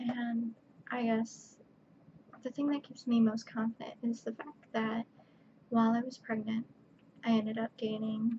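A soft-spoken woman's fairly high voice, dark and mellow in tone, monotone and flat, at a very slow pace over light background noise. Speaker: vlogger. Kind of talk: casual chat. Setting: at home at night. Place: home room. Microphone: webcam.

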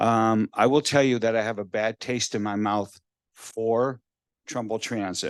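Against a quiet background, a man talks at medium pitch and a fairly slow pace in a monotone, flat intonation. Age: 60s. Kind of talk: public comment at county meeting. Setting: public meeting room, handheld microphone.

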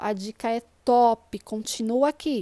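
A woman speaks with a high pitch and ordinary pitch variation. The recording is very clean, with a silent background. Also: dry, close sound with no echo. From Brazil, São Paulo, east zone. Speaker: hairdresser and video creator. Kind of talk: hair tutorial. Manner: casual, chatty.

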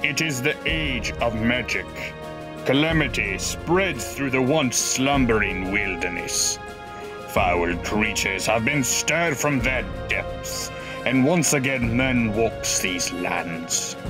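A man's medium-pitched voice at a fairly slow pace over loud background music. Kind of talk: epic trailer narration. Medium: read story. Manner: solemn, dramatic.

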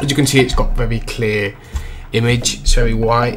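A man at a fairly quick pace with ordinary pitch variation, clear music playing in the background. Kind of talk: casual vlog chat. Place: home room. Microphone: studio mic.

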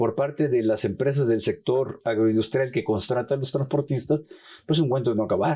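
A man speaks in a dark, mellow tone that is somewhat breathy. His loudness stays very even. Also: ordinary pitch variation, moderate pace. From Mexico, Sinaloa. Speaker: tax lawyer and law professor; tax lawyer, law professor. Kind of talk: expert interview on TV program. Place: studio. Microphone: lapel.

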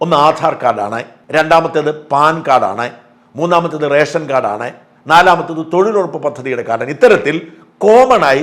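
A man speaks in a normal speaking voice. His pitch sits fairly high for a man, with lively intonation. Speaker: news commentator. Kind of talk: political commentary monologue.

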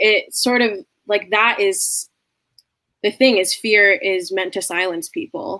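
A woman at a fairly slow pace, lively intonation, long, frequent pauses, quiet background. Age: 20s. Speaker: musical theater student; guest. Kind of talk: interview conversation. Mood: earnest, reflective. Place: home room.

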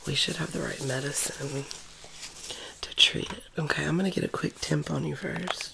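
Whispering in a gentle tone, a woman speaks at a moderate pace. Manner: soft-spoken, gentle ASMR clinician voice. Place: home room. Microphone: phone near.

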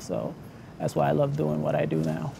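A man talks at a fairly quick pace while noticeable background noise plays behind him. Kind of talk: interview answer. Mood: proud, reflective. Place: factory.

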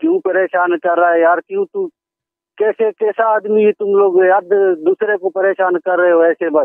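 The voice keeps fairly even intonation in a dry sound with no echo, against a quiet background. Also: man, high pitch for a man. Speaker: streamer or podcaster. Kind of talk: heated one-sided argument, as if on a call. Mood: annoyed, confrontational. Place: home room.

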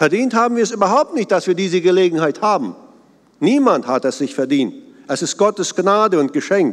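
A man's high-pitched voice with a warm tone, very wide pitch swings, long, frequent pauses, a moderate pace and a quiet background. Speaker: preacher. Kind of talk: sermon. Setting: church. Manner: earnest, warm, measured pastoral delivery. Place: church. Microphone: podium.

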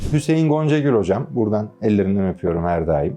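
Over music in the background, a man speaks at a fairly low pitch with very wide pitch swings. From Istanbul, Turkey. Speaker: voice actor. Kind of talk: interview.

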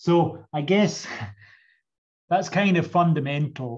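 Speaking very slowly and somewhat breathily, a man with a Scottish accent is heard against a quiet background. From Scotland, Edinburgh; Scotland. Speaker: professor. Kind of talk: lecture. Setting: video call. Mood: thoughtful, gently argumentative. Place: home room. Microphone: video call.

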